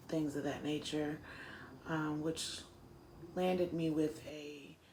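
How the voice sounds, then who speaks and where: A woman with an American accent and a very deep, low pitch, very slow delivery, and audible room echo. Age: 30s. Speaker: former juvenile offender. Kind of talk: interview testimony. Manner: hesitant, many fillers.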